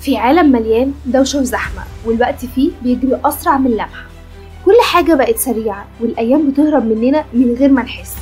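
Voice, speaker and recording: A woman with an Egyptian accent speaks at a high pitch while music plays in the background. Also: ordinary pitch variation, moderate pace. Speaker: film recap narrator. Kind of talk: channel promo narration. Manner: casual, conversational.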